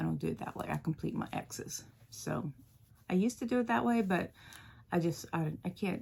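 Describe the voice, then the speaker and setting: A soft-spoken woman talks at a moderate pace. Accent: American. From US South, Louisiana. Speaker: cross-stitch video creator. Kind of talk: casual chat. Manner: halting.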